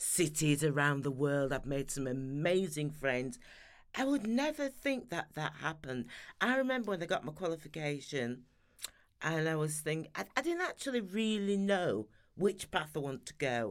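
A woman's very deep, low pitch with very wide pitch swings. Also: moderate pace. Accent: Sheffield. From Sheffield, Yorkshire, northern England. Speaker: beauty industry consultant and trainer. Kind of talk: interview.

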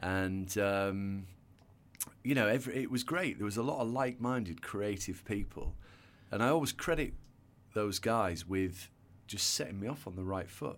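With a northern English accent, a man speaks at a moderate pace in a fairly low voice with ordinary pitch variation, leaving long, frequent pauses. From northern England; North Yorkshire. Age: 40s. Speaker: hairdresser and salon entrepreneur. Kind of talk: casual interview chat.

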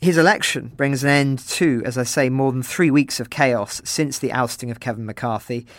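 With an English accent, a man speaks at a moderate pace and medium pitch, using ordinary pitch variation and hardly any pauses. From England. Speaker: journalist and interviewer. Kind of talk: interview.

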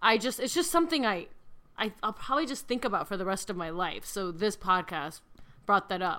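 A woman's bright, sharp tone with very wide pitch swings. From small-town Midwest US. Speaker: podcast co-host. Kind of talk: casual chat.

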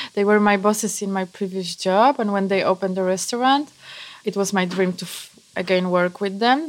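With a Polish accent, a woman speaks at a medium pitch. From Poland, mountain village. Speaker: pastry chef. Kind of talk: casual interview.

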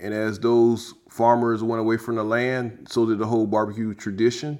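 A man talks at a moderate pace and a medium pitch in an ordinary speaking voice. The recording is very clean with a silent background. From South Carolina, US South. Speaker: rocket scientist and pitmaster. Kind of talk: interview.

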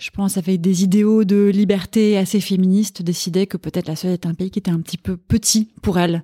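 A woman speaks in a dark, mellow, somewhat breathy voice with flat, monotone intonation. The recording is very clean, dry and close, with a silent background and no echo. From Paris, France. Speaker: food journalist and columnist. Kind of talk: casual interview chat.

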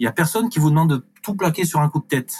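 A man talks at a very fast pace with lively intonation and a somewhat breathy voice, recorded dry and close with no echo. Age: 30s. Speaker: reiki practitioner and community manager. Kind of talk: testimony. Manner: hesitant, repeating words.

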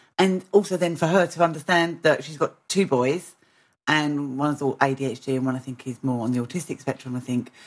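Speaking with a British accent, a woman has a very deep, low pitch and ordinary pitch variation. Her pace is moderate, and the background is quiet. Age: 40s. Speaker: podcast host. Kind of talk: casual interview.

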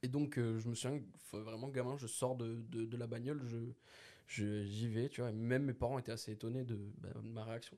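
A man talks at a moderate pace with a dark, mellow tone and medium pitch. His intonation stays fairly even. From northern France, Dunkirk. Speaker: podcast co-host. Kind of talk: casual chat.

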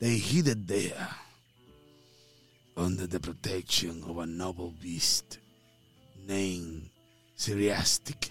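A man's put-on character voice, very deep and low in pitch, at a very slow pace with long, frequent pauses, faint music in the background. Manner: halting, slow.

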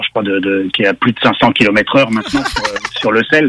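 Recorded dry and close with no echo, a man speaks at medium pitch. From Quebec. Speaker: car journalist. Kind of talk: casual chat.

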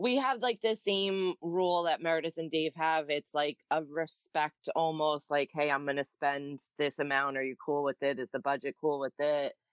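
With an American accent, this speaker moves at a moderate pace with hardly any pauses. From New Jersey. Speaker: stay-at-home mom. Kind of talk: casual chat.

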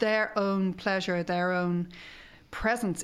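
Fairly slow and fairly even in intonation, the speech comes with an Irish accent. The recording is very clean, with a silent background. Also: woman. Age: 50s. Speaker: sexologist. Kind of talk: casual interview chat.

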